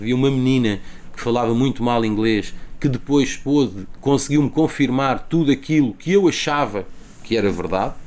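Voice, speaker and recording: At a moderate pace, a man with a medium pitch and ordinary pitch variation speaks in an ordinary speaking voice. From Lisbon, Portugal. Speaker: TV journalist. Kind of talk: interview.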